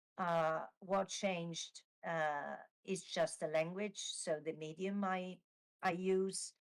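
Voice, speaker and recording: A woman's fairly low voice in an Italian accent, with monotone, flat intonation. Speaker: novelist. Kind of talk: interview Q&A at live book launch. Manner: halting, many fillers.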